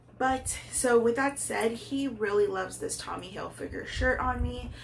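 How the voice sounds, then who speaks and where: Audible room echo surrounds the sound, along with noticeable background noise. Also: woman, moderate pace. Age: 30s. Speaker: fashion YouTuber. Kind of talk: casual vlog try-on haul. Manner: hesitant with many fillers.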